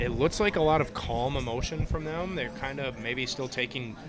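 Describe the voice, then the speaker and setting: A man with a Minnesotan accent, fairly high pitch, ordinary pitch variation and fairly quick pace, against noticeable background noise. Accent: Minnesota. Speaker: live-stream host. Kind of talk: live commentary. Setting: bar. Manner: casual.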